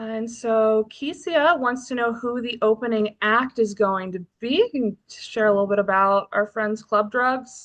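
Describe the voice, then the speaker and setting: A woman speaks at a fairly slow pace with hardly any pauses, her pitch fairly high and its variation ordinary. The background is quiet. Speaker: livestream co-host and band team member. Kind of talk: casual chat on a livestream. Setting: video livestream from a barn. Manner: loud, carrying voice.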